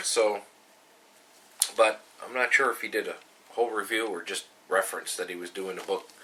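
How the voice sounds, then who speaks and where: A man talks at a fairly quick pace but with long, frequent pauses. His loudness swings a lot, and there is noticeable background noise. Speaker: homebrewer. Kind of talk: casual talk to camera.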